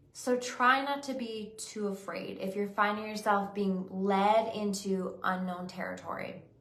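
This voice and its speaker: A woman speaks at a fairly slow pace and medium pitch with fairly even intonation and hardly any pauses. Audible room echo surrounds her voice. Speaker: psychic medium and intuitive life coach. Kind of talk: weekly spiritual reading monologue. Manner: slower, unhurried pace today; halting, with hesitations.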